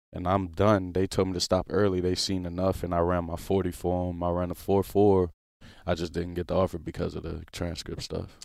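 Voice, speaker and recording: A man's very deep, low voice with an American accent, fairly quick and monotone, flat in intonation, on a very clean recording against a silent background. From New Orleans, Louisiana. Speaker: professional football player. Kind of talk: casual interview. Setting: studio.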